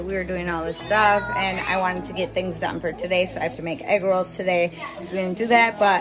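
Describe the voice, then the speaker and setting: Clear background music behind a woman at a fairly quick pace with fairly even intonation. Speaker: family vlogger. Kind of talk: casual vlog chat. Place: home room. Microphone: phone near.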